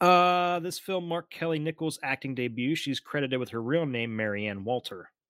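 An unremarkable speaking voice with an American accent moves at a moderate pace with lively intonation and hardly any pauses, in a dry, close sound with no echo on a very clean recording with a silent background. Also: man, fairly high pitch for a man. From United States. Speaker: horror podcast co-host. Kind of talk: casual chat.

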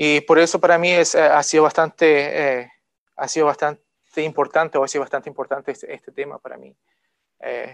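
Dry and close with no echo, the sound carries a man speaking at a moderate pace with fairly even intonation and a fairly high pitch. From outside the country he now lives in. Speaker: lay preacher. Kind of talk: sermon. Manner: halting, many fillers.

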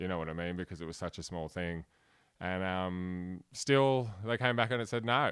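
At a moderate pace with ordinary pitch variation, the voice comes through on a very clean recording with a silent background. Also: man, very deep, low pitch for a man. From Australia. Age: 30s. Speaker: comedian. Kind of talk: casual chat.

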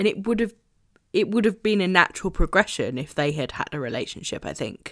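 This woman talks at a fairly quick pace with lively intonation and vocal fry. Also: medium pitch for a woman. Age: 30s. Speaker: book podcast co-host. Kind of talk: casual book discussion.

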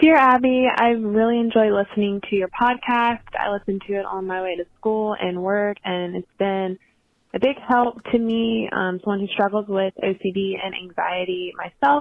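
With an unremarkable speaking voice, a woman talks at a moderate pace and medium pitch, with ordinary pitch variation. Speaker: listener voicemail caller. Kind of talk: voicemail asking for advice. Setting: phone call.

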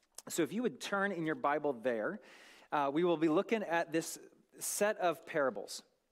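A man with an American accent speaks at a high pitch with lively intonation. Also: moderate pace, very clean recording, silent background. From US Northwest, North Idaho. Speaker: guest preacher. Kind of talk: sermon. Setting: church.

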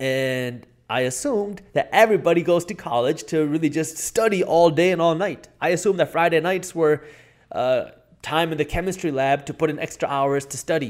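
On a very clean recording with a silent background, a man with a plain, everyday voice and a fairly high pitch speaks at a moderate pace with ordinary pitch variation. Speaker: entrepreneur and YouTuber. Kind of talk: casual interview.

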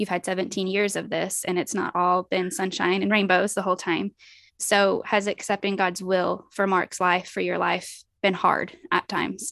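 A woman speaks at a medium pitch with vocal fry and monotone, flat intonation. The sound is dry and close with no echo. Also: moderate pace. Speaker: podcast host. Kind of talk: interview.

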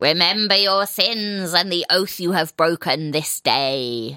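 In a put-on character voice, raspy and middle-pitched, the speaker goes at a fairly slow pace. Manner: menacing, accusing.

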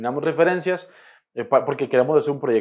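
A man is speaking. The background is quiet. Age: 20s. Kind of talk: podcast interview. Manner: halting, many repeated words.

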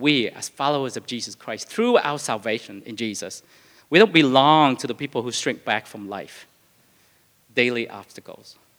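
A man with a non-native accent speaks at a moderate pace and medium pitch, with ordinary pitch variation. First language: not English. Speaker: pastor. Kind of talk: sermon. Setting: church. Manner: halting, with fillers and repetitions.

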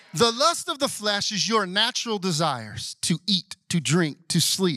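A high-pitched man with an American accent, a bright, sharp tone and lively intonation, in a dry, close sound with no echo. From US South. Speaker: pastor. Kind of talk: Sunday morning church sermon, call-and-response with congregation. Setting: church service with congregation. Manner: conversational, asides and humor, coaxing amens from the crowd; building preacher cadence, rising intensity.

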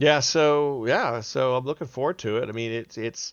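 A man with a plain, everyday voice speaks at a moderate pace using lively intonation. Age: 50s. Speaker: wargaming event organizer. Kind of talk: casual chat.

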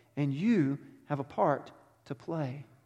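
A man with a Texan accent. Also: very clean recording, silent background. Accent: Texan (US Southern). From Texas. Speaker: pastor. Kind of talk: sermon. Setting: church.

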